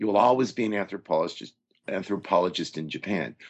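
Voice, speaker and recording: Vocal fry marks this man's voice. He has an American accent and lively intonation. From Southern California. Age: 60s. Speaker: university English professor. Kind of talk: interview.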